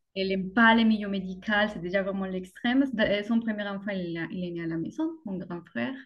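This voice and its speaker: Speaking at a moderate pace, a woman with a Colombian accent uses ordinary pitch variation. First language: Spanish (speaking French). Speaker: mother sharing birth story. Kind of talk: podcast interview testimony. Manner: hesitant, many fillers.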